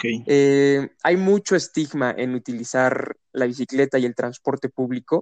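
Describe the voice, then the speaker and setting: In a normal speaking voice of medium pitch, a man talks at a fairly slow pace with ordinary pitch variation and hardly any pauses. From Querétaro, Mexico. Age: 20s. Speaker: sustainability student and mobility activist. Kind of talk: interview.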